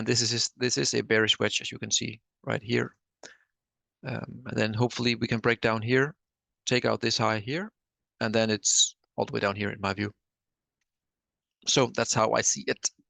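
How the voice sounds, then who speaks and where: A man mumbles in a put-on character voice at medium pitch. He keeps a moderate pace, broken by long, frequent pauses. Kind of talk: trading commentary. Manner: mumbling.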